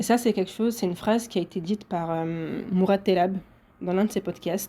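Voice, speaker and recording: Somewhat breathy, a woman talks at a fairly quick pace with fairly even intonation. Her medium-pitched voice has a dark, mellow tone. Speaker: podcaster. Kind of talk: solo podcast monologue.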